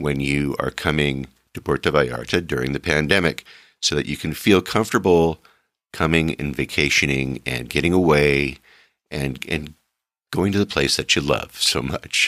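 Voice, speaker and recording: On a very clean recording with a silent background, a man with a very deep, low pitch and a bright, sharp tone speaks at a moderate pace with vocal fry. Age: 60s. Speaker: travel podcast host. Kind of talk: casual monologue. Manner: halting, many filler words.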